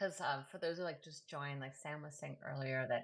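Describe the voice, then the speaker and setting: A woman with a New York accent at a fairly quick pace. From New York City. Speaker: poet and host. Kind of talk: casual chat. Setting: live video.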